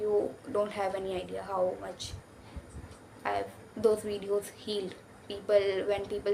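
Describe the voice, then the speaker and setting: The speaker talks in a monotone, flat intonation with an Indian accent. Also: woman. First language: Hindi. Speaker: YouTuber. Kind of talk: casual vlog talk. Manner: halting.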